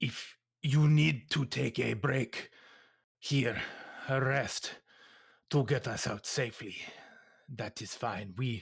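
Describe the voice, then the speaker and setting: A man puts on a raspy character voice with a medium pitch. He speaks at a fairly slow pace with long, frequent pauses. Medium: actual play. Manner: stiff, formal, no contractions.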